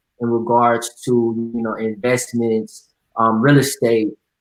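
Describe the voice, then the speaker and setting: With music in the background, a man in an American accent speaks at a fairly slow pace with a medium pitch and monotone, flat intonation. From Texas, suburban Dallas. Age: 20s. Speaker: entrepreneur and event promoter. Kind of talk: interview. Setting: online live video event.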